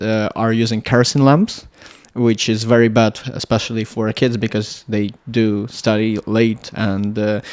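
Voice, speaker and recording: In a Russian accent, a man at medium pitch talks fairly slowly with monotone, flat intonation. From Latvia. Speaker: electronics engineer. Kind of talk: casual interview chat. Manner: halting, many fillers.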